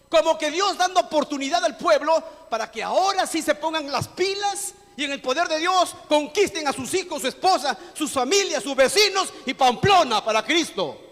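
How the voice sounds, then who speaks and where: A man's extremely high pitch and lively intonation, set against noticeable background noise. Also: moderate pace. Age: 60s. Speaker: pastor. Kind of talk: sermon. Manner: animated.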